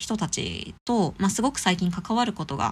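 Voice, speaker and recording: In a very clean recording with a silent background, a woman speaks with vocal fry and ordinary pitch variation. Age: 30s. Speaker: podcast host, art enthusiast. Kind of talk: casual solo podcast talk about an exhibition. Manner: casual, with many fillers.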